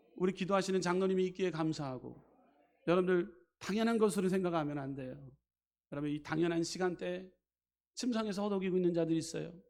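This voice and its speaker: A man's high voice at a very fast pace, with ordinary pitch variation and long, frequent pauses. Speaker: pastor. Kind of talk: sermon. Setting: church.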